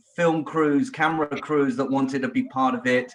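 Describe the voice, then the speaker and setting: With a British accent, a man speaks at a fairly high pitch, his voice making very wide pitch swings. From England. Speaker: podcast guest, royal family enthusiast. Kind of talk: casual chat.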